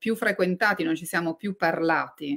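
A woman's normal speaking voice at a moderate pace with ordinary pitch variation. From Liguria and Tuscany, Italy. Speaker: novelist and journalist. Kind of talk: book talk interview.

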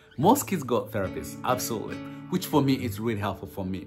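Clear music plays behind a man speaking with a Ugandan accent. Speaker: foster parent and speaker. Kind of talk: casual talk to camera. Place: home room. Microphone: phone near.

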